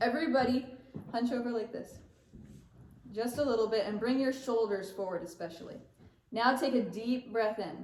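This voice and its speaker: Audible room echo surrounds a woman with a fairly high pitch. She uses ordinary pitch variation and leaves long, frequent pauses. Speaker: choir director. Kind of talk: choir rehearsal warm-up instruction. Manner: fast.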